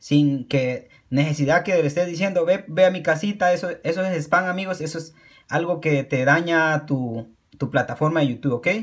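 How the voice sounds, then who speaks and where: A fairly high-pitched man at a moderate pace, ordinary pitch variation and a quiet background. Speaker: YouTube creator. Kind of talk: pitchman promo, channel shout-outs and subscribe appeals. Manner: earnest, encouraging, repetitive, with halting self-corrections; casual, informal, friendly. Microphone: phone near.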